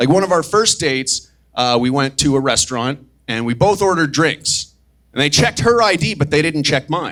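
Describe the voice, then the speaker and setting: Using a plain, everyday voice, a man with a fairly high pitch talks at a fairly quick pace with lively intonation. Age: 30s. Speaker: stand-up comedian. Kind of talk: stand-up.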